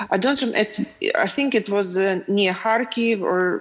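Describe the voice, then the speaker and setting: A woman's voice amid noticeable background noise. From Lviv, western Ukraine. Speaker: film producer. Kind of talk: panel discussion. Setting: video call.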